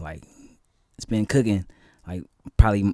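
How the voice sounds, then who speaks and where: With an American accent, a man speaks in a dark, mellow tone at a fairly low pitch. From San Francisco Bay Area, California. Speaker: musician and actor. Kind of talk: casual interview chat. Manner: hesitant, many fillers.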